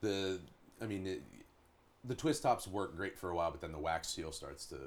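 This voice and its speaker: A man with a Pittsburgh accent speaks at a very deep, low pitch with vocal fry. His intonation is lively. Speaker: rock band drummer. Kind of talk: casual chat.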